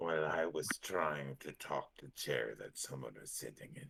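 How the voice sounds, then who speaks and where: Using a put-on character voice, a man speaks at a moderate pace in a very deep, low pitch. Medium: actual play. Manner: halting, broken phrasing.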